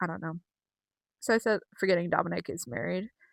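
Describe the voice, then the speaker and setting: Raised and projected, the woman's voice has a bright, sharp, animated tone at a fairly quick pace, with a dry, close sound with no echo and a very clean recording with a silent background. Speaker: wrestling commentary vlogger. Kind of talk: casual solo vlog recap.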